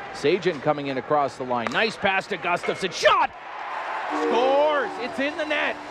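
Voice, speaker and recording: A man speaks at a moderate pace in a high voice whose pitch swings very widely. Noticeable background noise runs underneath. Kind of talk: live commentary. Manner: punchy, rising calls on each goal.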